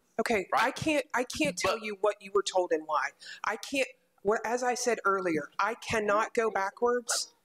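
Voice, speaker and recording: At a moderate pace, the talking comes through with a quiet background. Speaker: city council member chairing committee. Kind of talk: public meeting discussion. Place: hall. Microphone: podium.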